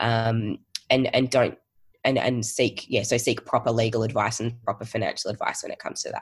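A woman talks at a fairly quick pace in an Australian accent. Her pitch is very deep and low, and her intonation is monotone and flat. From Australia, Geelong. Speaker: virtual assistant business owner. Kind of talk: casual interview. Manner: hesitant, many fillers.

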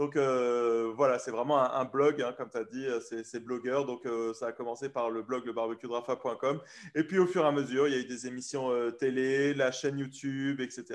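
At a moderate pace and a medium pitch, a man with an unremarkable speaking voice talks with fairly even intonation. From France. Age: 30s. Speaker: barbecue blogger. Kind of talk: casual interview.

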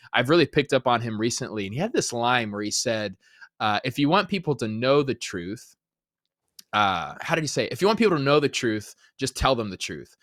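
Recorded very cleanly against a silent background with a dry, close sound and no echo, a man with an American accent and a plain, everyday voice speaks at a fairly quick pace at a medium pitch. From Arizona. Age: 30s. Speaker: pastor. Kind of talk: casual chat.

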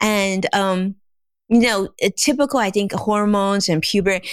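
A woman with an American accent speaks at a moderate pace and medium pitch. The recording is very clean, with a silent background. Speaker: financial advisor. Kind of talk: interview. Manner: gentle.

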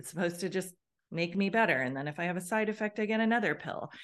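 A woman speaks in a normal speaking voice at a medium pitch. Her pitch variation is ordinary. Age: 50s. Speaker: wellness educator. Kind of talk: interview.

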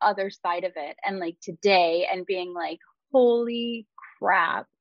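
At a fairly slow pace comes an unremarkable speaking voice. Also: woman. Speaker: wellness and life coach. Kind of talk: casual interview chat.

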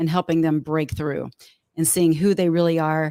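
Fairly low in pitch, a woman with a slight Texan accent talks in an animated, cheerful tone at a moderate pace, with a dry, close sound and no echo. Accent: Texan twang, slight. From Texas. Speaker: fitness expert. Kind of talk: casual chat. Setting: video call.

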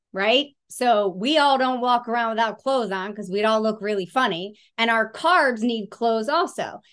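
In an ordinary speaking voice, a woman talks at a moderate pace and fairly high pitch with ordinary variation and hardly any pauses, over a quiet background. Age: 40s. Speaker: certified fitness and nutrition coach. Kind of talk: casual interview chat.

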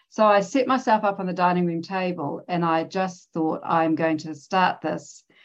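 This woman speaks with a New Zealand accent. Her pitch is fairly low. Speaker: abstract artist and former teacher. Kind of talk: interview conversation. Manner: halting, with many fillers.

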